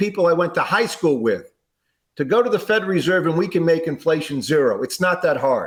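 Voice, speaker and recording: This man has a high-pitched voice. His pitch varies in an ordinary way. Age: 60s. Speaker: presidential candidate. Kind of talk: interview.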